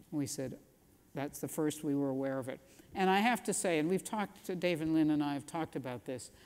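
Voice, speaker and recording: A woman with a very deep, low pitch talks at a fairly quick pace with lively intonation. The recording is very clean, with a silent background. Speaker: physician researcher. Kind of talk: lecture.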